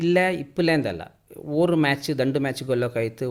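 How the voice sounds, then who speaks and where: A plain, everyday voice from a man, with ordinary pitch variation. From Kodagu, Karnataka. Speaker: sports festival committee chairman. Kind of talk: radio interview.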